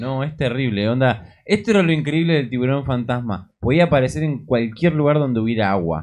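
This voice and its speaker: This man has an unremarkable speaking voice at medium pitch. He talks at a fairly quick pace with lively intonation and hardly any pauses. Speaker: podcast co-host. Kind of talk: casual chat.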